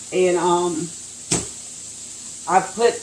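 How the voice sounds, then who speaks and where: A woman talks at a medium pitch. Audible room echo and noticeable background noise surround her voice. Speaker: raw food business owner. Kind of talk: cooking tutorial. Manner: halting, many fillers.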